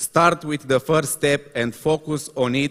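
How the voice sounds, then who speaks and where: With a Romanian accent, a man speaks at a fairly slow pace and fairly high pitch, with fairly even intonation and a dry, close sound with no echo. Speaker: motivational speaker. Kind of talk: reading aloud. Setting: stage with audience. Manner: halting.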